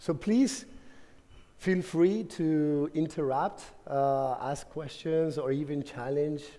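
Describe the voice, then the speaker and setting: Someone with a Spanish accent speaks at a very slow pace, using ordinary pitch variation, with audible room echo. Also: man. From Argentina. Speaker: conference speaker, tech company manager. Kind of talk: conference talk. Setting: stage with audience. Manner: halting, many fillers and repetitions.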